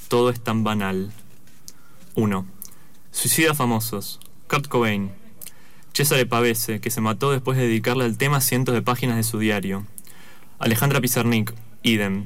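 A man's medium-pitched voice, with fairly even intonation and very even loudness, moves at a moderate pace with long, frequent pauses in audible room echo. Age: 20s. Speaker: author. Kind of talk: reading aloud.

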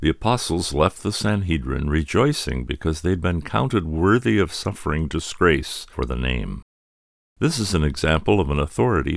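Very deep and low, a man's voice carries vocal fry and lively intonation. He speaks at a moderate pace. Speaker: radio host. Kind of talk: scripted narration.

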